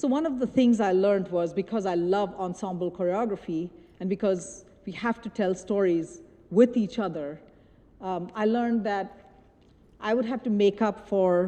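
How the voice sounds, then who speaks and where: A woman with a Bengali accent talks at a moderate pace in a medium-pitched, dark, mellow voice with ordinary pitch variation. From India. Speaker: choreographer. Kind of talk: lecture. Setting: stage with audience. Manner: halting.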